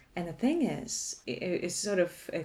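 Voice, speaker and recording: A woman with a Canadian accent at a moderate pace amid noticeable background noise. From Canada, Toronto. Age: 40s. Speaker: podcast guest sharing life story. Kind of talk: casual interview.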